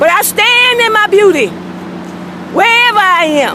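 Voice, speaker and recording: With noticeable background noise, a woman uses a raised, projected voice, an animated tone and very wide pitch swings. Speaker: video blogger. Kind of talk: casual monologue. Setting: outdoors. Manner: loud.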